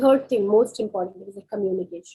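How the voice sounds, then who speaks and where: With ordinary pitch variation, a woman's voice carries a dark, mellow tone. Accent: Kashmiri. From India. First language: Kashmiri. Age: 30s. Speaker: psychologist. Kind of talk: career talk.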